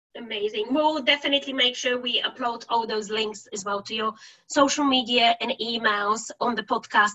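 In a Bulgarian accent, a woman speaks at a fairly high pitch and a moderate pace. Her tone is bright and sharp, with fairly even intonation. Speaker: podcast host. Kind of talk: interview.

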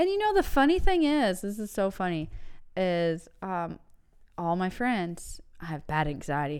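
Her intonation is lively, and her pitch is fairly low for a woman. The recording is very clean, with a silent background. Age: 30s. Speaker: podcast co-host. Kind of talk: casual banter. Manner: animated, jokey.

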